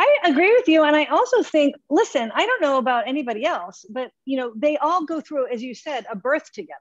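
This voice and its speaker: A high-pitched woman with an American accent at a fairly quick pace, very wide pitch swings and hardly any pauses, in a dry sound with no echo and a quiet background. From US Midwest, Nebraska. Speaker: theatre director; panelist. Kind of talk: casual chat. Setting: video call. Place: home room. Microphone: video call.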